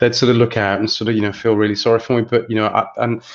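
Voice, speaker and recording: A man talks in an English Midlands accent. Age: 40s. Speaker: estate agency chief executive. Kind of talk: interview.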